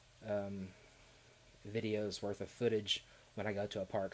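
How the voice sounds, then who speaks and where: This man has a slight Southern Kentucky accent and a fairly low pitch. His intonation is flat and monotone. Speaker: theme park YouTuber. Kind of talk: live stream chat. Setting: live stream. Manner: hesitant, many fillers and repeats.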